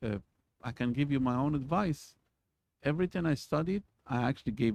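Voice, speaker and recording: A man speaks with a non-native accent and ordinary pitch variation. The sound is dry and close, with no echo. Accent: foreign. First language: not English. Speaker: university lecturer. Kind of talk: lecture. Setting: recorded video for students. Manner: halting, many fillers.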